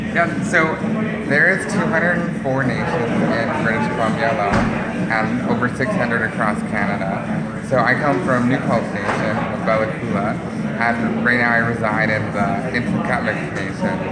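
A man talks at a fairly slow pace. Loud noise fills the background. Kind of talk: interview answer. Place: cafe. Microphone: phone near.

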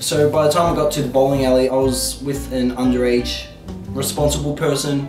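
Over clear music in the background, the voice keeps a moderate pace and fairly even intonation. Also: man. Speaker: vlogger. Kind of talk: casual vlog chat. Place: home room. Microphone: camera far.

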